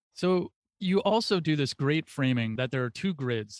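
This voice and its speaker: In an ordinary speaking voice, the speaker uses lively intonation at a moderate pace, with a dry, close sound and no echo. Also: man. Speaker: podcast host and interviewer. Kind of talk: interview, host questions.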